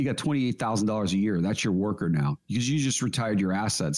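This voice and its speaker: Here a man speaks at a very fast pace. His pitch swings very widely. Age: 50s. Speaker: financial advisor, radio co-host. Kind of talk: casual radio chat about finance.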